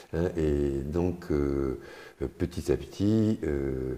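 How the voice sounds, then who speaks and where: The man's tone is dark and mellow. His pitch varies in an ordinary way. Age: 70s. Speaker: retiree, gym client. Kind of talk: testimony interview. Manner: halting, many hesitations.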